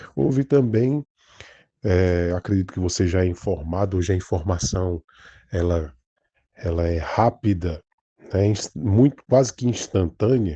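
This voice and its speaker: A man with a northeastern Brazilian accent, very deep and low in pitch with a dark, mellow tone, ordinary pitch variation, a fairly slow pace and long, frequent pauses, over a quiet background. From Brazil, Northeast. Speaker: pastor. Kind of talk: informal religious talk. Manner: halting, many false starts.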